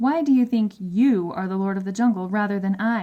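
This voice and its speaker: A woman's growling, put-on character voice, medium in pitch, at a fairly quick pace. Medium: read story. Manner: dry and self-assured.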